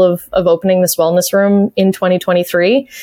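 A woman speaks with a slight Canadian accent. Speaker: arena announcer and play-by-play broadcaster. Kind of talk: casual interview chat. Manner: animated, laughs often.

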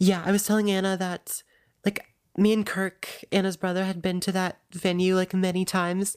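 A woman's medium-pitched voice with an American accent at a moderate pace. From US South. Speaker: podcast co-host. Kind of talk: casual chat. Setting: remote call. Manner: animated.

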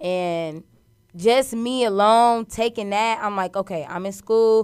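Speaking at a fairly slow pace, a woman has a fairly high pitch, ordinary pitch variation and an animated, upbeat tone. The recording is very clean with a silent background. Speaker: radio personality and cook. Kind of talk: casual interview chat.

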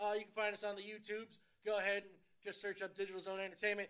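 A man talks at a very fast pace in a high pitch. His tone is bright and sharp. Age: 30s. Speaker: podcast co-host. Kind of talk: casual chat. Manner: stutter.

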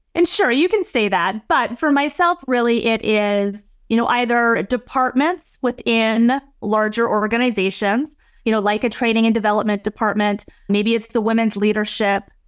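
A woman with an ordinary speaking voice talks at a moderate pace, fairly high in pitch, with ordinary pitch variation. Her loudness is very even, in a very clean recording with a silent background. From British Columbia, Canada (Abbotsford, near Vancouver). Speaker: leadership consultant and speaker. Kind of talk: interview conversation.

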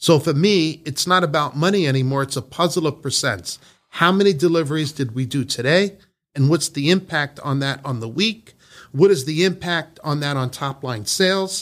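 A man with a fairly high pitch and an American accent at a moderate pace, ordinary pitch variation, in a very clean recording with a silent background. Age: 50s. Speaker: business owner. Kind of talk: interview. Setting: on location at company facility. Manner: animated.

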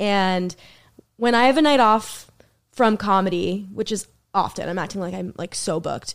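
A woman with an American accent speaks at a moderate pace in an unremarkable speaking voice, her medium pitch showing ordinary variation, on a very clean recording with a silent background. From Boston area, US. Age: 20s. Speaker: comedian. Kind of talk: casual chat.

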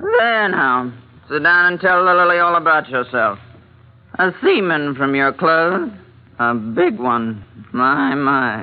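A woman uses a put-on character voice, low in pitch with big swings. She speaks at a slow pace.

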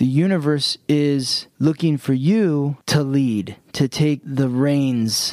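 Here a man speaks at a medium pitch with ordinary pitch variation. The sound is dry and close, with no echo. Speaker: astrologer, podcast co-host. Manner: slow, deliberate talker.

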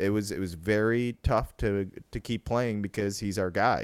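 On a very clean recording with a silent background, a man with a normal speaking voice has a fairly low pitch and fairly even intonation. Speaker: baseball writer, co-host. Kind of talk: casual sports discussion.

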